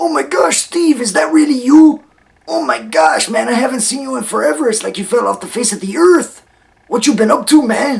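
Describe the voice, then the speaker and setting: An extremely high-pitched put-on character voice from a man, enthusiastic in tone and fairly quick in pace. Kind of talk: casual, chatty. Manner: enthusiastic, exaggerated, silly.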